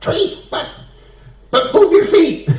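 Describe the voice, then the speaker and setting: Somewhat breathy, a man with a Californian accent speaks at a moderate pace, with audible room echo around him. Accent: American (California). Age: 70s. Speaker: congregation member, community organizer. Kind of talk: announcement.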